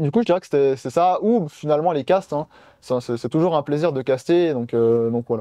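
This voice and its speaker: A man's dark, mellow tone with ordinary pitch variation, in a dry, close sound with no echo against a quiet background. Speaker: esports co-caster. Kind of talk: interview.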